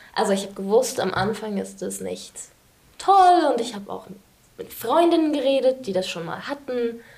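Amid noticeable background noise, the speaker's pitch swings very widely. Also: woman. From England. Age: 20s. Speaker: student. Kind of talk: interview.

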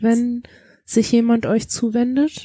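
Dark, mellow tone in a woman's fairly high-pitched voice. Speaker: podcast co-host. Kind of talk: casual chat.

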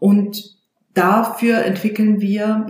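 A woman's voice with audible room echo. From Baden-Württemberg. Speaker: voice coach and leadership trainer. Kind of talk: interview. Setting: in her office. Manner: animated.

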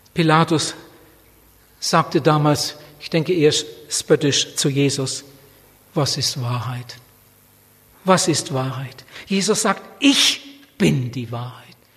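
Noticeable background noise sits under very slow speech with long, frequent pauses and ordinary pitch variation. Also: man, fairly high pitch for a man. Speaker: preacher. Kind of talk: sermon. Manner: passionate, urgent, fervent preaching; repetitive emphatic delivery with direct appeals.

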